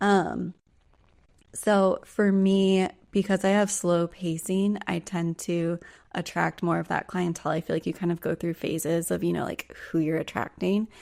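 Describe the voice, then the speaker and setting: A woman with a plain, everyday voice speaks at a moderate pace with fairly even intonation and fairly low pitch, in a very clean recording with a silent background. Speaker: trauma practitioner and somatic coach. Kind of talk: casual chat.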